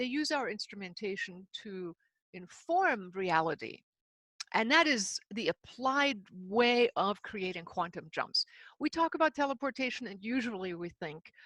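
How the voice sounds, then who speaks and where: On a very clean recording with a silent background, a woman speaks at a fairly slow pace. Her pitch is fairly high with very wide swings, and the sound is dry and close with no echo. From Himalayas and Germany. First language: German. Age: 60s. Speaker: spiritual author and seminar leader. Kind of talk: interview.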